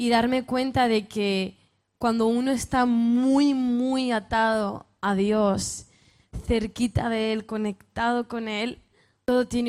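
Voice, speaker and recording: Very slow speech with fairly even intonation on a very clean recording against a silent background. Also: woman. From northern Spain. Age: 20s. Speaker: youth speaker, pastors' daughter. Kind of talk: sermon-style talk to youth conference. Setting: stage with audience.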